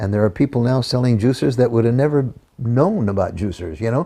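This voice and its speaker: Very fast and somewhat breathy, a man talks at a medium pitch in a dark, mellow tone. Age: 80s+. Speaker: juicing promoter. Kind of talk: interview answer. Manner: energetic.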